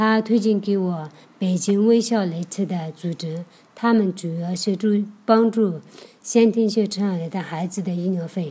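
A woman's somewhat breathy, dark and mellow voice in a Tibetan accent, at a fairly slow pace. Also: medium pitch for a woman, fairly even intonation. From Hongyuan County, Aba, Sichuan (Tibetan herding area). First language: Tibetan (speaking Chinese). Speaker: nonprofit office worker and charity volunteer. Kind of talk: personal testimony. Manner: halting.

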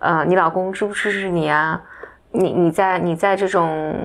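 A woman talks at a medium pitch, her intonation monotone and flat. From mainland China. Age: 30s. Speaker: podcast co-host. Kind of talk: casual chat.

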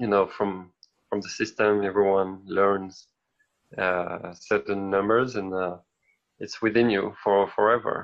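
A speaker with a French accent talks at a fairly slow pace in a monotone, flat intonation, leaving long, frequent pauses. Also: man. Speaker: podcast co-host. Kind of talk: casual chat.

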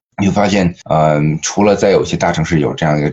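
A man with a very deep, low voice talks with ordinary pitch variation. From Northeast China, Liaoning. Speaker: restaurant co-founder and CEO. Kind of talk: podcast interview.

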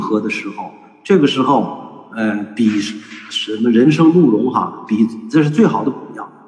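A man talks fairly slowly while his pitch swings over a very wide range. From northern China, Shanxi (Datong). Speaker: traditional culture educator. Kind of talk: online panel talk. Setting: video call.

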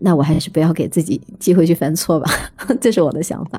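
Speaking at a fairly quick pace, a woman has a dark, mellow tone. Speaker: writer. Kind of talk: casual chat.

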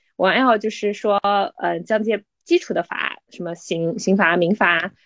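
Over a quiet background, a woman of medium pitch with an unremarkable speaking voice talks at a moderate pace, the sound dry and close with no echo. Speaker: lawyer. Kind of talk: interview. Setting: podcast.

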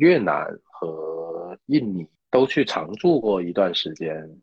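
Speaking very slowly, a man with a fairly low pitch makes very wide pitch swings. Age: 30s. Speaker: ammunition maker and ski instructor. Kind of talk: interview. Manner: halting.

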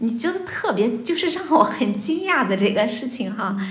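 Over noticeable background noise, a woman with a fairly high voice speaks at a fairly slow pace with very wide pitch swings. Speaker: psychological counselor. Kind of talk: casual chat.

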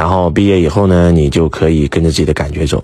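A man with a very deep, low pitch talks at a very fast pace over noticeable background noise. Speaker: self-help teacher. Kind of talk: Q&A answering listener questions. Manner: animated.

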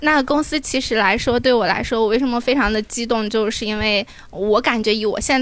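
In a plain, everyday voice with ordinary pitch variation, the speaker moves at a fairly quick pace on a very clean recording with a silent background. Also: woman. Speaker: audience member. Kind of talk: casual chat.

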